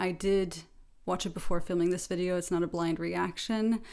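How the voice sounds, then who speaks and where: Relaxed, monotone delivery with flat intonation at a moderate pace, in an American accent. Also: woman. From France. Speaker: YouTuber. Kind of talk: reaction commentary.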